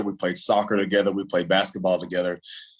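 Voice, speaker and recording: Speaking very fast with a West Texas accent, a man keeps his intonation fairly even. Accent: West Texas American. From Texas, Lubbock. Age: 30s. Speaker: former professional basketball player. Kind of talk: interview.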